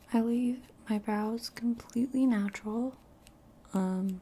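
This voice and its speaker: Soft-spoken and somewhat breathy, a woman talks at a very slow pace in a fairly high voice with a dark, mellow tone and monotone, flat intonation. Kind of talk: ASMR makeup tutorial, casual talk to camera.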